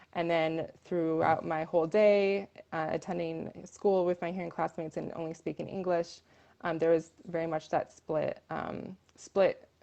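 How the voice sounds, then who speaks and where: In an American accent, a woman talks at a fairly slow pace with a fairly low pitch, a dark, mellow tone and monotone, flat intonation. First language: American Sign Language. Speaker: deaf rights advocate. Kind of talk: interview. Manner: hesitant, many fillers.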